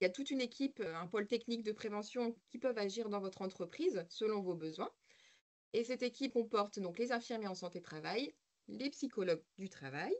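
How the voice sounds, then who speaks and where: Lively in intonation, a woman with a fairly high pitch speaks at a fairly quick pace. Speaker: occupational health service staff presenter. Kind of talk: webinar presentation. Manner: hesitant, many fillers.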